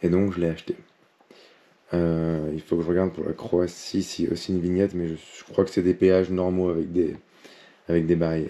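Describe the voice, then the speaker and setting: With a very deep, low pitch and a dark, mellow tone, a man talks at a fairly quick pace in a monotone, flat intonation, broken by long, frequent pauses. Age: 30s. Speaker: travel vlogger. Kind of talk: travel vlog. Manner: halting, many fillers.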